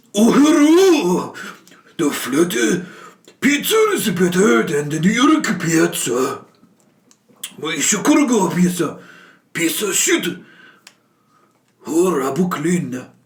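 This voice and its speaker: Using a put-on character voice, a man speaks at a high pitch and a very slow pace. Long, frequent pauses break his speech, and an echo is audible. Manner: exaggerated, comical.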